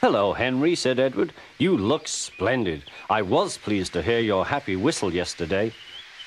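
A passage is read aloud in a natural voice.

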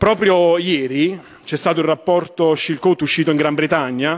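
A man's high-pitched voice with fairly even intonation against a quiet background. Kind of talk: parliamentary speech. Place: hall. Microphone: podium.

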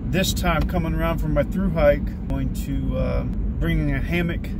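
Loud background noise around a man's dry, echo-free voice. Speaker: hiking vlogger. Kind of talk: casual vlog chat. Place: car. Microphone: phone near.

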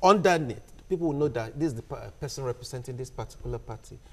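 Very fast, somewhat breathy speech with ordinary pitch variation. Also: man. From Nigeria, Ondo State. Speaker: journalist. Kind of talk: panel discussion. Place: studio.

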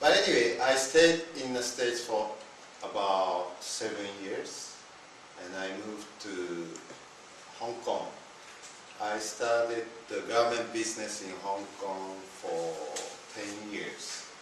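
Amid noticeable background noise, a man with a Japanese accent talks at a very slow pace and a fairly low pitch, with ordinary pitch variation, big swings in loudness and long, frequent pauses. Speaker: network marketing business leader. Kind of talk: seminar talk and interview. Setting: seminar room with audience. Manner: halting.

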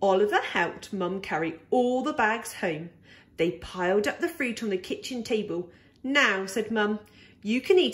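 A natural reading voice carries the clip. The text is read aloud.

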